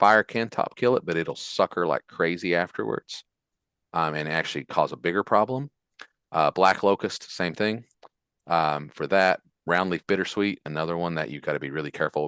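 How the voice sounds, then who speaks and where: This man's voice is very deep and low, moving at a fairly quick pace with ordinary pitch variation. The sound is dry and close with no echo, set against a quiet background. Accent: West Virginia. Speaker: forestry extension specialist. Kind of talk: Q&A after a lecture. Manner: casual, with fillers and repetitions.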